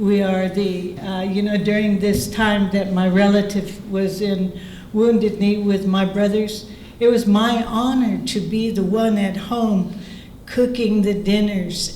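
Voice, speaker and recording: At a very slow pace, a woman with a medium pitch speaks in a monotone, flat intonation, with noticeable background noise and audible room echo. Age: 70s. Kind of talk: panel discussion.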